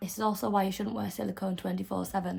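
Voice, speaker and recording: The voice has a somewhat breathy quality. It belongs to a woman. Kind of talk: tutorial.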